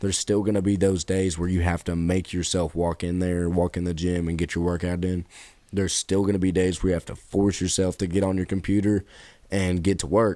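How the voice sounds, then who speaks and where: On a very clean recording with a silent background, a man with a very deep, low pitch and a dark, mellow tone talks at a fairly quick pace in a monotone, flat intonation. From Kentucky. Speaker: podcast co-host. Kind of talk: casual chat.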